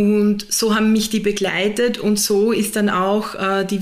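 Noticeable noise fills the background. Against it, a woman talks at a medium pitch. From Austria, southern Burgenland. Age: 30s. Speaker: HR manager and systemic constellation facilitator. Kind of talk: interview.

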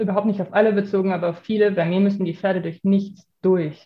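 A somewhat breathy woman speaks at a moderate pace and medium pitch. Her intonation stays fairly even. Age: 30s. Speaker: dressage trainer. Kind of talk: podcast interview. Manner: hesitant, many filler sounds.

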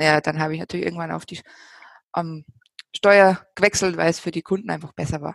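A woman's fairly low-pitched voice at a very fast pace, with long, frequent pauses, big swings in loudness and fairly even intonation, in a dry, close sound with no echo. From Bavaria. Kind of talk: casual chat.

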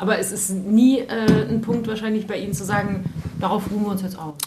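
The speech moves at a fairly quick pace with fairly even intonation. Noticeable background noise and audible room echo are present. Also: woman. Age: under 60. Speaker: radio host. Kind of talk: interview.

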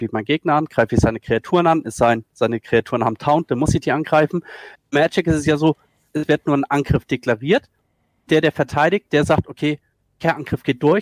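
A man with an unremarkable speaking voice talks at a fairly quick pace, fairly high in pitch, with ordinary pitch variation. The recording is very clean with a silent background and a dry, close sound with no echo. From northern Germany, Schleswig-Holstein. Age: 40s. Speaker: esports video editor. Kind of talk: casual chat.

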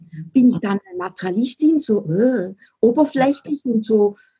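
With lively intonation and a fairly high pitch, a woman talks at a moderate pace in a somewhat breathy voice. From Switzerland. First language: Swiss German (speaking German). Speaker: spiritual business coach. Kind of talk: casual interview chat.

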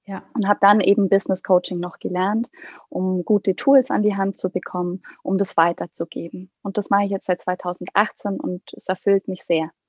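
A woman talks in an unremarkable speaking voice at medium pitch. Her pitch varies in an ordinary way, and the sound is dry and close with no echo. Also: moderate pace, quiet background. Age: 30s. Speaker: pediatrician and coach for doctors. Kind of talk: interview conversation.

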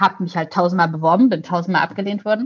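Her voice somewhat breathy, a woman speaks with ordinary pitch variation. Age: 20s. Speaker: YouTube presenter and editor. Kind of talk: casual chat.

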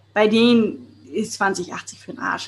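Somewhat breathy, the speech moves through ordinary pitch variation. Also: woman. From Hamburg, northern Germany. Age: 30s. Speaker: podcast host, networking expert. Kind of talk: solo podcast monologue. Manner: casual, colloquial.

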